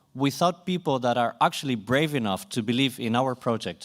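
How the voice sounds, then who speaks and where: On a very clean recording with a silent background, a man with a Swedish accent speaks at a medium pitch. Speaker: conference moderator. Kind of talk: closing remarks at a conference.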